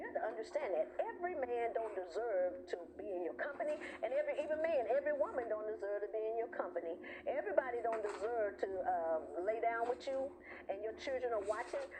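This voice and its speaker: Talking very fast, a woman uses a fairly high voice with very wide pitch swings. Noticeable noise sits in the background. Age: 60s. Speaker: talk show host. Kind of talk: live talk show monologue. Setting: live stream. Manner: animated.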